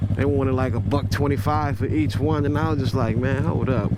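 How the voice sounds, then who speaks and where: Fairly quick speech from a man with fairly low pitch, over noticeable background noise. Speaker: motorcycle vlogger. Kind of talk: casual vlog while riding. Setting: outdoors riding a motorcycle. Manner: halting, many fillers.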